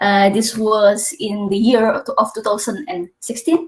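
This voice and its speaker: A somewhat breathy woman with a fairly high pitch, in an Indonesian accent. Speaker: PhD student. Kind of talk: webinar presentation.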